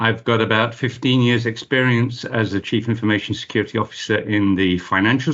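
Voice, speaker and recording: Here a man speaks in a fairly low pitch at a moderate pace. It is a plain, everyday voice with ordinary pitch variation. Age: 60s. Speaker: cybersecurity expert. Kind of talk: interview.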